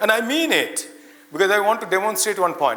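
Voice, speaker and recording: An animated, raised and projected voice rings out with audible room echo. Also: man. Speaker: invited speaker, academic. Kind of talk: ceremonial speech to students. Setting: auditorium with audience, lapel mic. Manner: loud; interactive, animated.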